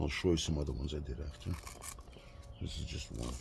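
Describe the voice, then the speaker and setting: In a room with audible echo, a man speaks at a very deep, low pitch with fairly even intonation. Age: 60s. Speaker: car hobbyist YouTuber. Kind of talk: tutorial. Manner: casual, halting with fillers.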